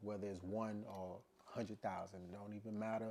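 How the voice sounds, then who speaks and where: A man with an American accent speaks at a moderate pace in a dark, mellow, relaxed tone, fairly low in pitch, with monotone, flat intonation. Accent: doesn't sound like he's from Louisiana. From Louisiana, US South (Shreveport). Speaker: musician and podcaster. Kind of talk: casual vlog monologue. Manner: relaxed, conversational, many fillers.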